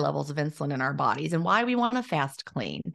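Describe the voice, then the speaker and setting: This woman's pitch is very deep and low, with vocal fry. She talks at a fairly quick pace with lively intonation against a quiet background. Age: 50s. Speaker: intermittent fasting author and former teacher. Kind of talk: interview.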